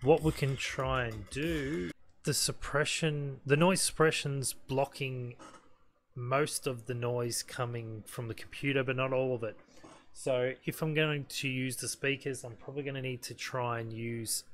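The speaker talks at a fairly slow pace with fairly even intonation. Light background noise sits behind the voice. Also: man. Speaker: hobbyist gamer. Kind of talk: tutorial. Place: home room.

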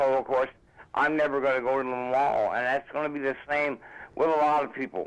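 The speaker is male. He keeps his intonation fairly even. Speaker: caller. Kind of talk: casual chat. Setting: phone call. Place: studio.

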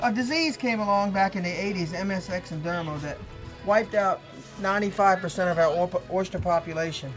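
With an American accent, a man speaks at a high pitch with ordinary pitch variation while clear music plays in the background. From Virginia, Chesapeake Bay. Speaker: waterman. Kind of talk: interview answer. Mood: calm, reflective. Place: boat. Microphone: lapel.

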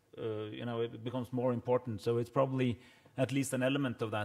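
Against a quiet background, someone with a Norwegian accent speaks at a very fast pace. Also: man. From Norway. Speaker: government minister. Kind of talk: panel discussion. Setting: stage with audience. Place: hall. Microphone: podium.

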